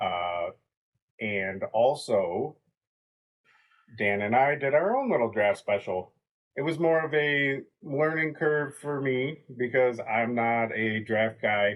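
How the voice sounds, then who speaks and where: A man talks at a medium pitch with lively intonation. His pace is very slow, with long, frequent pauses. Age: 30s. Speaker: podcast co-host. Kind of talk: casual vlog monologue. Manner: halting, with fillers.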